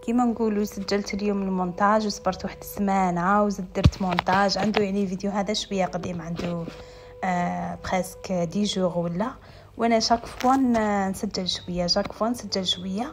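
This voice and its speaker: Against noticeable background noise, a woman with an Algerian accent speaks at a moderate pace and medium pitch with fairly even intonation. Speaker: lifestyle vlogger. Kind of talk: voice-over vlog narration.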